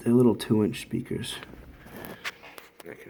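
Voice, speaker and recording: A soft-spoken man talks at a moderate pace. Noticeable background noise runs underneath. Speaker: DIY hobbyist YouTuber. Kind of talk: casual tutorial.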